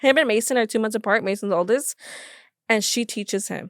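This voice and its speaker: A woman with a fairly high pitch and ordinary pitch variation is heard in a dry, close recording with no echo. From Los Angeles area, California. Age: 20s. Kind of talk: podcast interview. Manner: halting.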